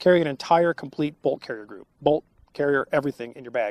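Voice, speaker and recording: The speaker is a man, recorded with a dry, close sound and no echo. The recording is very clean, with a silent background. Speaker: firearms channel host. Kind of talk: solo Q&A answering viewer questions. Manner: fast.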